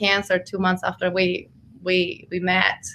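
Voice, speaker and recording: With a slight Argentine accent, a woman speaks at a fairly slow pace in a bright, sharp tone. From Argentina. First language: Spanish. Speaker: health coach and energy healer. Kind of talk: interview. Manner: hesitant, many fillers.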